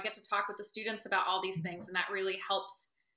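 Audible room echo surrounds a woman's voice. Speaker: political science lecturer. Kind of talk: lecture. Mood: relaxed, slightly self-deprecating. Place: home room. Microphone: video call.

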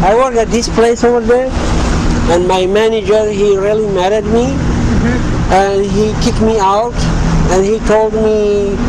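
Fairly slow speech over loud background noise. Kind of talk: staged plea to strangers. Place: street.

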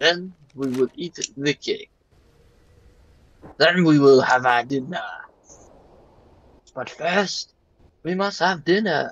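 A put-on character voice in a French accent moves fairly slowly with long, frequent pauses, the sound dry and close with no echo. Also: man, high pitch for a man. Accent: fake French. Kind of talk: casual gaming chat. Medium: role play.

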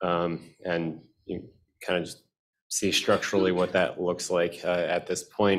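Speaking at a fairly slow pace, a man has a very deep, low pitch and an American accent. Light background noise can be heard. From US Southwest. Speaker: spine surgery fellow. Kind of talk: case presentation. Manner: halting, many fillers. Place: hall. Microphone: podium.

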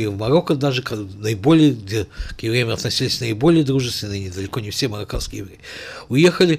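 Somewhat breathy delivery at a fairly quick pace, with ordinary pitch variation. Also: man. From Azerbaijan, Baku; Azerbaijan. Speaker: writer and journalist; journalist guest. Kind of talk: studio interview. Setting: studio. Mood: serious historical account. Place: studio. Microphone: studio mic.

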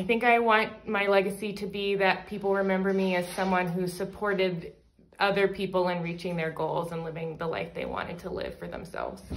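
A woman speaks at a fairly quick pace with monotone, flat intonation. There is light background noise. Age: 30s. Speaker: college outreach program staff. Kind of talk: interview Q&A, reading questions aloud. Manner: casual with frequent fillers. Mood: warm, reflective. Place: home room. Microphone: phone near.

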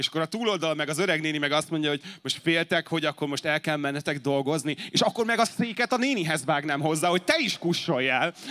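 A man with a fairly high voice talks at a very fast pace with hardly any pauses and ordinary pitch variation. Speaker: YouTube content creator. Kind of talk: panel discussion. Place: cafe. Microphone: handheld.

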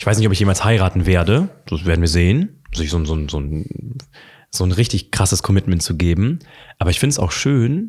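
A man with a very deep, low pitch and a somewhat breathy voice at a fairly quick pace, over a quiet background. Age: 20s. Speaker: coach; interview guest. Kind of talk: casual chat. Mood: calm, reflective. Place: home room. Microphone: studio mic.

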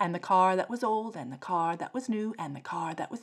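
The pitch shifts in an ordinary way during this plain reading aloud.

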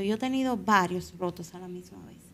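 There is light background noise behind this woman. She talks at a moderate pace with lively intonation. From Dominican Republic, Azua; Dominican Republic. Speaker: Paralympic swimmer; podcast guest. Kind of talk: interview. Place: studio. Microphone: studio mic.

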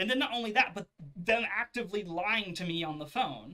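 Moderate-paced speech from a man, the background quiet. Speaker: video creator, customer complaining. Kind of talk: angry rant. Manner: indignant, sarcastic, animated. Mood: annoyed, ranting. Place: home room.

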